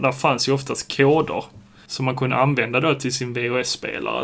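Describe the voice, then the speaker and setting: This man's medium-pitched voice carries vocal fry and a monotone, flat intonation. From southern Sweden, Skåne (Sjöbo). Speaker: podcast co-host. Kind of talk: casual chat.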